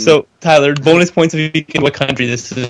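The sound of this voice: A man puts on a robotic character voice with fairly high pitch. He moves at a fairly quick pace.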